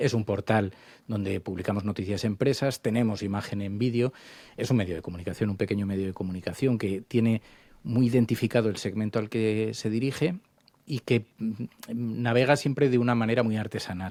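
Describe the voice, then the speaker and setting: A man with a dark, mellow tone and fairly low pitch speaks at a fairly quick pace with ordinary pitch variation on a very clean recording with a silent background. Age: 50s. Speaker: journalist and radio founder. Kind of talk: interview conversation. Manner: hesitant with fillers.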